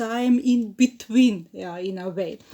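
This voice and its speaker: Speaking fairly slowly with a Macedonian accent, a woman has a dark, mellow tone. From North Macedonia. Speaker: poet. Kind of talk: interview. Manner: halting, many fillers.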